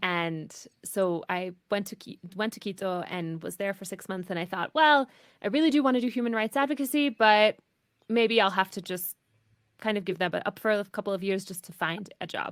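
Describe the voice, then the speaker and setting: In a very clean recording with a silent background, a woman speaks with an American accent at medium pitch and a moderate pace. Her intonation is lively, her loudness swings widely, and the sound is dry and close with no echo. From US Midwest, rural Michigan. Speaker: marketing strategist. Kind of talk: interview. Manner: conversational.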